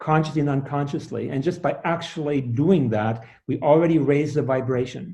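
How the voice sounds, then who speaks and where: A man with a dark, mellow tone sounds somewhat breathy as he speaks at a moderate pace. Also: fairly high pitch for a man, ordinary pitch variation. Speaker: sound healer and author. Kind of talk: interview. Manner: halting, many fillers.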